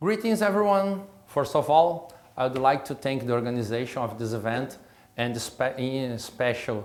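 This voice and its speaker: Audible room echo surrounds a man's medium-pitched voice. He speaks at a moderate pace with lively intonation. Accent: Brazilian Portuguese. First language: Portuguese. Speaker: state prosecutor and law professor. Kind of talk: lecture. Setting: recorded lecture at a school. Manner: halting, with false starts.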